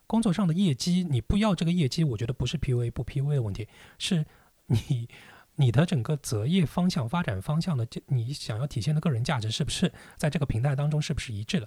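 On a very clean recording with a silent background and a dry, close sound with no echo, a man speaks at a fairly quick pace in a fairly high, somewhat breathy voice with a dark, mellow tone and lively intonation. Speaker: entrepreneur and business owner. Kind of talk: casual chat.

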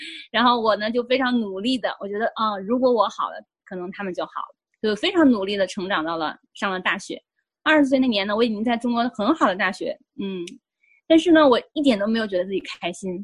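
Somewhat breathy and fairly high-pitched, a woman talks at a fairly quick pace with lively intonation and big shifts in loudness. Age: 40s. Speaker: life coach and psychotherapist. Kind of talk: interview, personal testimony. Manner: hesitant, many fillers.

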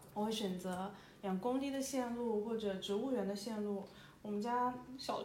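Amid noticeable background noise and audible room echo, a woman with a fairly high pitch speaks with fairly even intonation. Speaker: podcast host. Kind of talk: solo reflective monologue. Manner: hesitant, many fillers; conversational, intimate.

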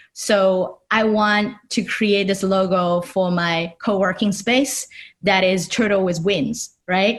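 A woman speaks very slowly in a Chinese accent. Her loudness stays very even and her intonation fairly even. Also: medium pitch for a woman. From China, Shanghai. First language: Mandarin Chinese. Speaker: designer and artist. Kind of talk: interview.

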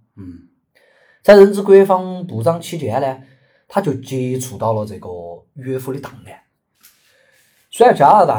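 A man with a Sichuan accent speaks at a moderate pace in a dark, mellow tone. His voice is somewhat breathy, with very wide pitch swings. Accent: Sichuan (Chengdu) dialect Mandarin. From Chengdu, Sichuan, China. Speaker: podcast co-host. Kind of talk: casual chat with storytelling.

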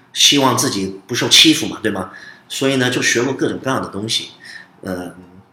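A man talks fairly quickly at medium pitch, with ordinary pitch variation. Room echo is audible, and background noise is noticeable. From United States (moved from Beijing as small child). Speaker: Brazilian jiu-jitsu instructor and fight promoter. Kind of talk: casual interview. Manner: many hesitations and fillers.

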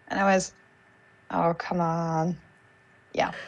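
A woman speaks at a fairly slow pace with a Hungarian accent. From Hungary. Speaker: former exchange student. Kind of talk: casual chat. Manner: halting.

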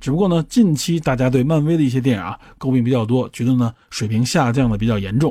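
A man speaks at a very fast pace in a somewhat breathy, dark, mellow voice of medium pitch, recorded very cleanly against a silent background. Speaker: podcast host. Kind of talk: solo explanatory monologue.

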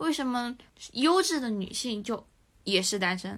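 With a bright, sharp tone, a woman talks at a fairly high pitch on a very clean recording against a silent background. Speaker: civil servant. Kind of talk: casual chat.

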